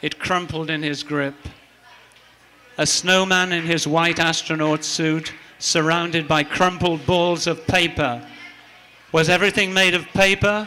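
A man talks at a fairly slow pace with long, frequent pauses. His pitch is high and his intonation fairly even. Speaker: open mic poet. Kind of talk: poetry reading. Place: cafe. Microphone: handheld.

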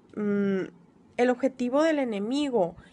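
A woman's very slow delivery with ordinary pitch variation. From Mexico, Sonora (Altar); Sonora. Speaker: deliverance ministry trainee. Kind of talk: recorded homework presentation. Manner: hesitant, many filler sounds. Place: home room. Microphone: phone near.

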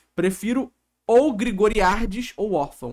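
Against a quiet background, a man with a Brazilian accent speaks with lively intonation. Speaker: streamer reacting to reality show. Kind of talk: casual live-stream reaction chat. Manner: joking, irreverent. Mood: playful, joking. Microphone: studio mic.

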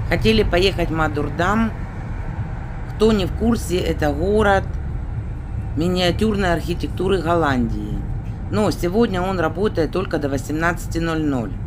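The speaker talks at a fairly slow pace with long, frequent pauses. Noticeable background noise is present. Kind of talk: casual vlog chat. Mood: relaxed, chatty. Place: car. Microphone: phone near.

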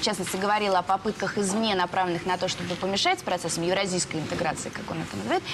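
Over noticeable background noise, a woman speaks very fast. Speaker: TV news presenter. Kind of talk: news interview. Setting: studio. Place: studio. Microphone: lapel.

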